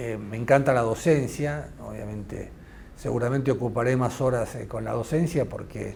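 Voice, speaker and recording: A man speaks at a moderate pace with a medium pitch and an Argentine accent. His intonation is fairly even, and there is audible room echo. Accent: Argentine Spanish (Rioplatense). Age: 60s. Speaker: investigative journalist. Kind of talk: interview conversation. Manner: halting, many fillers.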